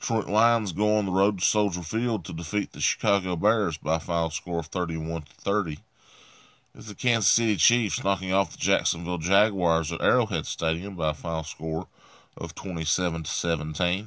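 A man's very deep, low voice in an Appalachian accent, at a moderate pace with ordinary pitch variation. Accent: Appalachian US Southern. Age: 30s. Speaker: podcast host. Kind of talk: sports results reading; solo podcast monologue.

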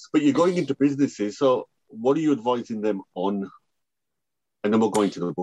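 Talking at a very fast pace yet with long, frequent pauses, a man with medium pitch, lively intonation and a dark, mellow tone is heard in a dry, close sound with no echo. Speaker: podcast host. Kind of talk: interview intro and conversation.

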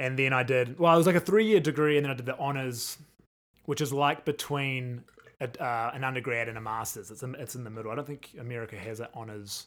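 Speaking at a very fast pace with a New Zealand accent, a man uses medium pitch and ordinary pitch variation, and his loudness swings widely. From New Zealand, Christchurch. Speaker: percussionist. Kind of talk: casual chat.

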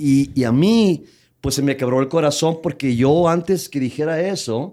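A man with a dark, mellow tone talks fairly slowly. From Tijuana, Mexico / US border region. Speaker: comedian. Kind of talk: casual chat.

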